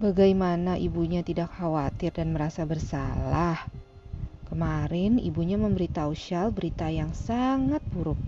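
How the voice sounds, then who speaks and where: Noticeable background noise runs under a woman's voice. She speaks in a dramatic tone at a moderate pace. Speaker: audiobook narrator. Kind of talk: audiobook narration of a fantasy novel. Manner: dramatic, suspenseful storytelling with shifting character voices.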